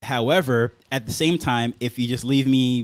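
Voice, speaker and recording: The recording has a dry, close sound with no echo. In it, a man talks at a medium pitch. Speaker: content creator. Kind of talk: casual live stream talk. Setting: home studio live stream. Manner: fast; filler words, uh and um.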